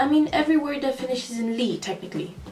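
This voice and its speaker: A woman's animated tone and lively intonation, with noticeable background noise and audible room echo. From third culture kid, grew up abroad incl. China. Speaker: vlogger. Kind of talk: casual vlog monologue.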